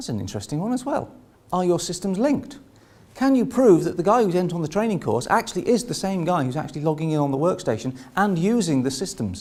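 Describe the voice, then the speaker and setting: Speaking very fast, a man uses a high pitch with very wide pitch swings. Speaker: conference speaker. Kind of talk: presentation. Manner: animated.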